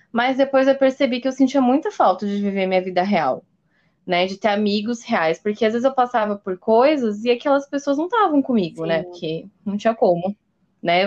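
With a quiet background, a woman speaks in an ordinary speaking voice at a fairly quick pace, her fairly high pitch carried by lively intonation. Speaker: podcast host. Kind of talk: casual chat.

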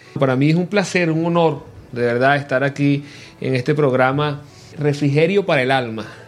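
The man's voice sits at a fairly high pitch and moves at a moderate pace, with very even loudness. Noticeable background noise runs underneath. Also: ordinary pitch variation. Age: 40s. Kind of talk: radio interview. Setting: radio studio.

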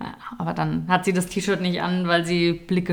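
Here is a woman with a normal speaking voice and a fairly low pitch. She speaks at a moderate pace. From Nuremberg, Franconia (Germany). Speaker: podcast co-host, sports news presenter. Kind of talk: casual chat.

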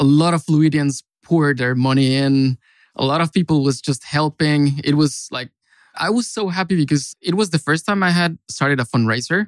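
A man with a Mexican accent and a fairly high pitch speaks with ordinary pitch variation in dry, close sound with no echo, on a very clean recording with a silent background. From Mexico. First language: Spanish. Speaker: consultant. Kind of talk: casual chat.

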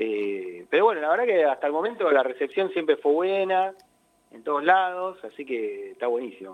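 Here a man talks at a fairly high pitch with very wide pitch swings. His pace is moderate. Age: 40s. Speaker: tango musician. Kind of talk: interview.

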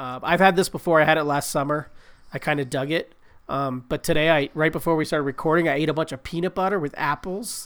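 Very fast and animated, a man talks with a fairly high pitch. The recording is very clean, and the background is silent. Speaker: podcast host and comic book artist. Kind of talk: casual banter, comic book chat over drinks. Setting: recording while drinking beer. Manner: joking, profane, animated.

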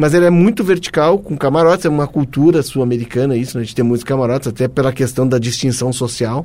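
A man's very fast voice, medium in pitch, with a dark, mellow tone and ordinary pitch variation. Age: 50s. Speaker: football podcast host. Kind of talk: casual chat.

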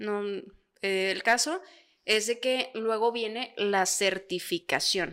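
Very slow, fairly high-pitched female speech, marked by long, frequent pauses and ordinary pitch variation. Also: very clean recording, silent background. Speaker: podcast co-host. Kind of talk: casual chat.

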